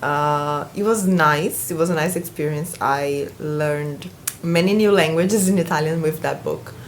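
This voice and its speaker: With a slight Brazilian accent, a woman speaks at a moderate pace with a very deep, low pitch and ordinary pitch variation, amid noticeable background noise and audible room echo. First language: Portuguese. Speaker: booktuber. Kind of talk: casual vlog. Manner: halting.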